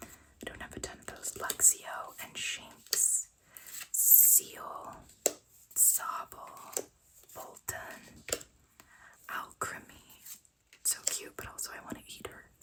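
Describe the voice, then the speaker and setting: Whispering comes at a very slow pace with long, frequent pauses over noticeable background noise. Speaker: ASMR content creator. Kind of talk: casual ASMR show-and-tell of card collection. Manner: soft whispering.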